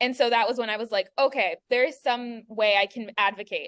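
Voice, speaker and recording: With a quiet background, a woman talks at a fairly quick pace in a fairly high voice. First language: Spanish. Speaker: graduate student. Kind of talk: panel discussion. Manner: animated.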